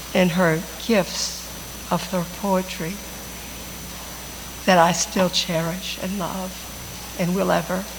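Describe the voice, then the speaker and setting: A woman speaks in a flat monotone at a very slow pace, with long, frequent pauses. Noticeable background noise runs underneath. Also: medium pitch for a woman. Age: 80s+. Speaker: friend of the deceased. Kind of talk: tribute speech.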